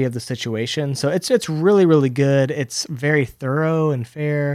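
Over a silent background in a very clean recording, a man with a normal speaking voice talks at a moderate pace with ordinary pitch variation. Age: 30s. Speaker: podcast co-host, seminary student. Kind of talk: casual chat.

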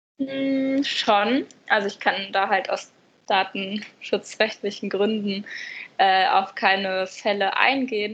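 A very slow delivery with fairly even intonation against a quiet background. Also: woman, medium pitch for a woman. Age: 20s. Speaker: youth helpline volunteer counsellor, new university student. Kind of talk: casual interview.

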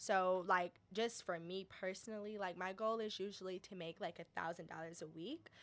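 In a plain, everyday voice, a woman with an American accent speaks at a moderate pace and medium pitch, with fairly even intonation and hardly any pauses. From Detroit, Michigan. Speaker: social enterprise founder and day trader. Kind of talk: interview, casual chat.

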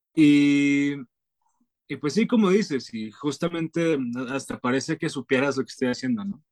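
A man talks in a normal speaking voice at a moderate pace with lively intonation. The sound is dry and close, with no echo. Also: fairly high pitch for a man. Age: 20s. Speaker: singer-songwriter. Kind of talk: interview.

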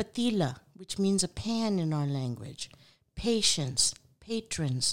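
At a very slow pace, a woman with a fairly low pitch speaks using very wide pitch swings. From Pakistan, Punjab. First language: Urdu/Punjabi. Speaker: podcast host, food business founder. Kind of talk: reading a word list; solo podcast monologue. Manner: frequent fillers and restarts.

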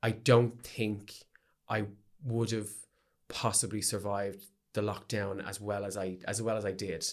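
Someone speaks with a Dublin accent on a very clean recording with a silent background. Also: man. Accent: Dublin Irish. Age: 30s. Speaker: drag performer and choreographer. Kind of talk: casual chat. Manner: animated.

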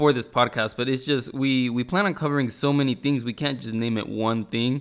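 A man with a plain, everyday voice talks at a medium pitch and a moderate pace, keeping his intonation fairly even. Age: 20s. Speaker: podcast host. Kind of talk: solo casual monologue.

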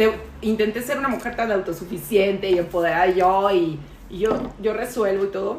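The speaker goes at a fairly slow pace with ordinary pitch variation. Room echo is audible, and background noise is noticeable. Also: woman. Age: 40s. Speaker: podcast co-host. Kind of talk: casual chat. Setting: dinner at a friend's home.

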